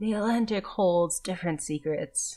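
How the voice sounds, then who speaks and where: A raspy, put-on character voice, female-sounding, at medium pitch for a woman and a moderate pace. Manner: grim, storytelling.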